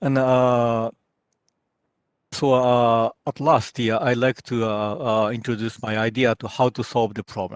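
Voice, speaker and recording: A man's voice of medium pitch at a very slow pace, with a dry, close sound and no echo. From Japan. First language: Japanese. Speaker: researcher and former naval officer. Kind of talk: lecture. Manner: halting, many filler sounds.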